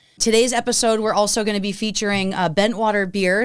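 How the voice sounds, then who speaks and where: Speaking very fast, this woman has an American accent. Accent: Boston, comes out more with drinking. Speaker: podcast host. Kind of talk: casual interview chat. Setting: studio table, drinking beer on show.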